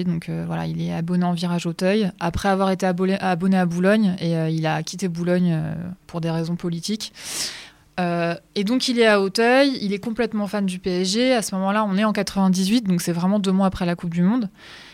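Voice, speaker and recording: A woman talks at a medium pitch, keeping her intonation fairly even. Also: moderate pace. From northern France. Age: 40s. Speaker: radio host. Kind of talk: personal testimony. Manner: hesitant, repeating words.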